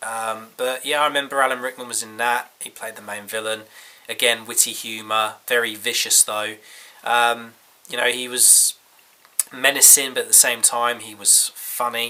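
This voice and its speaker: Speech at a moderate pace comes in a monotone, flat intonation with big swings in loudness against noticeable background noise. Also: man, medium pitch for a man. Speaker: film reviewer. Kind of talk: casual talk to camera.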